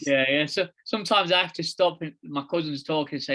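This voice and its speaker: Speaking with an East Midlands accent, a man has a bright, sharp tone and a fairly high pitch. He moves at a fairly quick pace with fairly even intonation. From England, East Midlands (near Leicester). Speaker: founder of a fathers' advocacy group, podcast guest. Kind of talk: casual chat.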